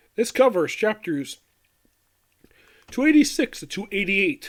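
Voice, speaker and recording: This man's pitch swings very widely as he speaks. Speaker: anime reviewer. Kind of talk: video review monologue.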